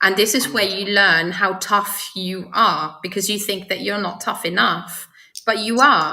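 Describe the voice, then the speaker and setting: Audible room echo surrounds a woman with a medium-pitched voice. She speaks fairly slowly with fairly even intonation. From Luxembourg. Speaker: person in recovery. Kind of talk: interview.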